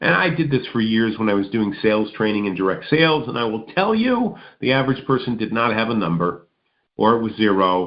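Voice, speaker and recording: Here a man has an unremarkable speaking voice at medium pitch. He talks at a fairly quick pace with ordinary pitch variation. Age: 60s. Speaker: motivational speaker and radio host. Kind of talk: motivational radio monologue. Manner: conversational, repetitive.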